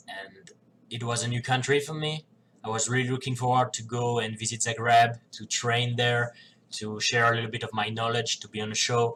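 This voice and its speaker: A man with a non-native accent, medium pitch and a bright, sharp tone, at a moderate pace. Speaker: professional wrestler. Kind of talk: casual talk to camera.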